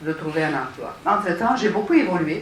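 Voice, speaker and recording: There is audible room echo and noticeable background noise as a woman with a fairly low pitch speaks. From Romania. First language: Romanian (speaking French). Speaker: city councillor, panelist. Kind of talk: panel discussion. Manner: halting, many hesitations.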